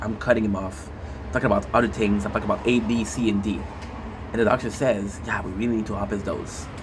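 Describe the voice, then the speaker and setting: Over noticeable background noise and audible room echo, a man with a Quebec accent talks very fast in an animated, fairly low voice. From Quebec, Canada. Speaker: gaming streamer. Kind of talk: casual monologue.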